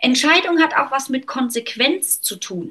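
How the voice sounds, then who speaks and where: The tone is bright and sharp. A woman is speaking in a raised, projected voice. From Germany, North Rhine-Westphalia. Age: 40s. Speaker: author and business consultant. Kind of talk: interview conversation.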